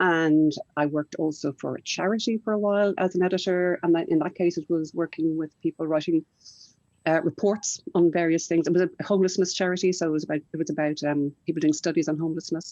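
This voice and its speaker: Dry and close with no echo, a woman's fairly low, dark, mellow voice races at a very fast pace with fairly even intonation. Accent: Irish. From Ireland. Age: 60s. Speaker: children's writer and publisher. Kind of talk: panel discussion.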